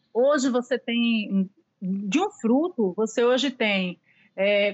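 A very slow woman's voice, fairly high-pitched, its pitch varying in an ordinary way. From Pernambuco, Recife. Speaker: pastry chef. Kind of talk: interview.

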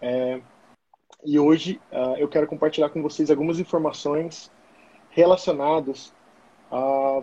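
A man speaks fairly slowly in a fairly high pitch, his dark, mellow tone held in a monotone, flat intonation. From São Paulo state, Brazil. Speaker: former American football player and coach. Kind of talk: casual interview on a live stream.

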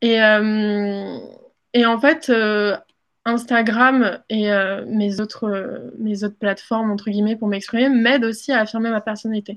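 A woman's fairly high voice with fairly even intonation, a normal speaking voice. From moved between countries as a child, born in Mexico. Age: 20s. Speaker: content creator. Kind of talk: interview.

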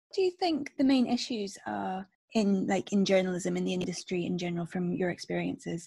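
Moving at a fairly quick pace, a woman speaks in a Scottish accent. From Scotland, Stirling. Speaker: podcast host. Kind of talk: casual chat.

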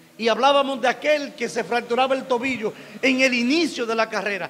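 A man's voice at an extremely high pitch. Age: 50s. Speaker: pastor. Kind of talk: sermon.

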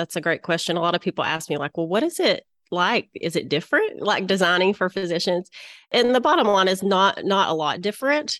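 Speaking in a Southern US accent, a woman uses a medium pitch with ordinary pitch variation. The sound is dry and close with no echo, against a quiet background. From Little Rock, Arkansas, US South. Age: 40s. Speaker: interior designer and former physician. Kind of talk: casual interview.

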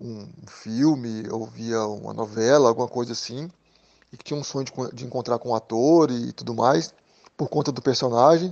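Speaking with lively intonation at a moderate pace, a man has an unremarkable speaking voice. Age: 40s. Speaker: drummer and music school owner. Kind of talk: interview.

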